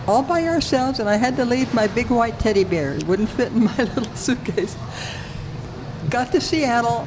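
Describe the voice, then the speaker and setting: Speaking at a moderate pace in an American accent, a woman uses a high pitch and lively intonation over noticeable background noise. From Alaska, US. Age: 80s+. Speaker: retired racing driver. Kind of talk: interview storytelling. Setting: loud coffee shop.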